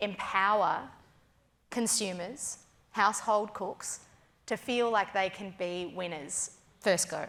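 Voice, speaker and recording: A woman's medium-pitched voice with a strong Australian accent. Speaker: food personality and cook. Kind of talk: keynote stage interview. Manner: animated.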